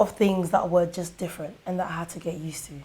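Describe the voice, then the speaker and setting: A woman with a London accent talks at a fairly quick pace and medium pitch, somewhat breathy, with fairly even intonation. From Ghana, Kumasi, raised in London from age eight. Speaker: musician and dancer. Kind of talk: interview.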